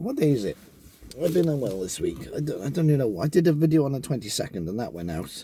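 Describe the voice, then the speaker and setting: A man rushes along at a very fast pace, his pitch swinging very widely. His tone is dark and mellow, and somewhat breathy. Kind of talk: casual talk to camera. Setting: in a car.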